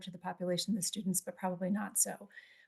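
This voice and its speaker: A woman's somewhat breathy voice with a dark, mellow tone at a very fast pace. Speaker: psychologist. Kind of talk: conference presentation.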